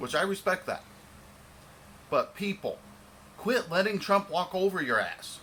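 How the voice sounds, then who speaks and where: In an American accent, a man with a high pitch speaks in a raised, projected voice at a fairly slow pace. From Michigan, US. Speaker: vlogger. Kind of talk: rant. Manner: stumbling over words.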